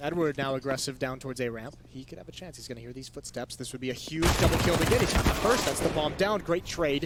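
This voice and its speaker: A man races along at a very fast pace with ordinary pitch variation, noticeable background noise beneath him. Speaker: esports caster. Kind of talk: live commentary. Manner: briefly stuttering.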